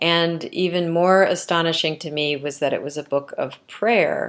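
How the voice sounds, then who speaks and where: A woman with an American accent and an ordinary speaking voice talks at a fairly slow pace, her pitch fairly low. The recording is very clean, with a silent background. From Boston, US. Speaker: artist and author. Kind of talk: public talk. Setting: stage with audience in a club.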